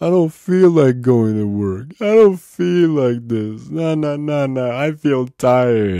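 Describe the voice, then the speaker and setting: This put-on character voice is whiny, with very wide pitch swings. It moves at a fairly slow pace with hardly any pauses. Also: man, medium pitch for a man. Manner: self-pitying.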